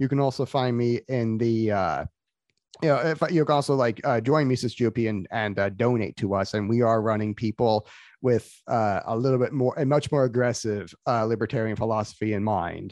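A speaker with an American accent talks at a moderate pace with ordinary pitch variation. The sound is dry and close with no echo, over a quiet background. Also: man. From Florida. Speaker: political activist. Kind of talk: casual chat. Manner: halting, many restarts.

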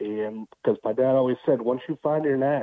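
A man with a normal speaking voice, medium pitch, fairly even intonation and a moderate pace. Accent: American. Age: 30s. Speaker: utility locator. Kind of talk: casual chat.

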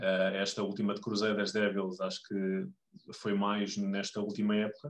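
A man speaks at a fairly slow pace in a fairly low voice, his loudness very even and his intonation flat and monotone. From Lisbon, Portugal. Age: 30s. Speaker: American football club member. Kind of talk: podcast interview. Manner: halting, many fillers.

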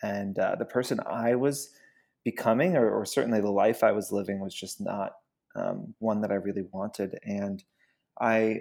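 With an American accent, a man speaks at a medium pitch and moderate pace in a normal speaking voice. His pitch variation is ordinary, and the recording is very clean with a silent background. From US South (Georgia). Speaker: company founder and CEO. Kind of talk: interview.

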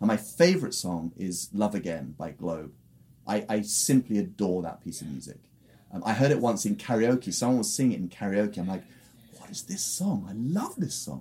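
A man with a British accent and a dark, mellow tone talks at a moderate pace, with very wide pitch swings and big swings in loudness. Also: fairly low pitch for a man. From England. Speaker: music producer and musician. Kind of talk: interview.

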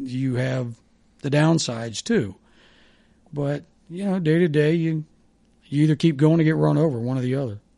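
A man with a Midwestern American accent speaks in a fairly high pitch, his tone dark and mellow. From US Midwest (Dayton, Ohio). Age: 60s. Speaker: former sports radio host. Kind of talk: casual chat.

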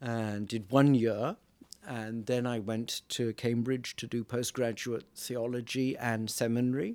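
This man speaks in a Welsh accent at a medium pitch and a fairly slow pace. His intonation stays monotone and flat. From Wales. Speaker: priest. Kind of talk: casual chat. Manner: humorous, jokey.

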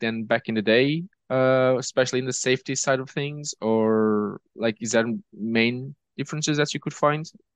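A man with a Portuguese accent, in a dry, close sound with no echo and a quiet background. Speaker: podcast host. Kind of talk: podcast interview. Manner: halting, many fillers.

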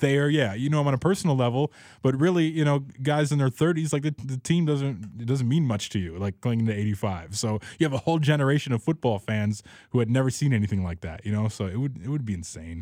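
With an American accent, a man speaks very fast at a medium pitch with lively intonation and a dark, mellow tone, the sound dry and close with no echo on a very clean recording with a silent background. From Chicago, US Midwest. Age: 30s. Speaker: radio sound producer and DJ. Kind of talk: casual chat.

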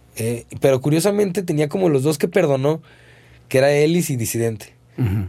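Fairly quick speech from a man with a dark, mellow tone. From Mexico, Zapopan (Guadalajara area). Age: 40s. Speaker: ska-punk singer. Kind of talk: casual chat.

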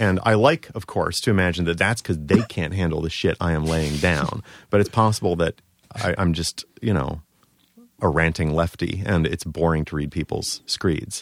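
With an American accent, a man speaks in a very deep, low pitch and ordinary pitch variation, the sound dry and close with no echo. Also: moderate pace. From Baltimore, Maryland. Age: 40s. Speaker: writer and cartoonist. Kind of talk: casual podcast interview. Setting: studio.

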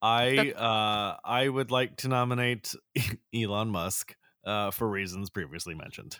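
A man with a normal speaking voice talks at a fairly slow pace, using a medium pitch and ordinary pitch variation. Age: 40s. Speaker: podcast co-host. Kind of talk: casual chat.

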